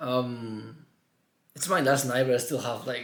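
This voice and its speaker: A man talks at a moderate pace and a medium pitch. Room echo is audible. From Mallorca, Spain. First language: Catalan (Mallorcan). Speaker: vlogger. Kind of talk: personal vlog. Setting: his room at home. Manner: halting.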